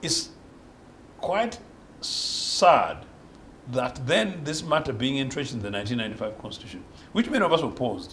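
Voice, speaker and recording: A man with a fairly high voice speaks at a moderate pace, with long, frequent pauses. His pitch swings very widely and his loudness shifts a lot, over light background noise. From Uganda. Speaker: opposition politician and political analyst; opposition politician, political analyst. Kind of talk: political panel debate. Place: studio.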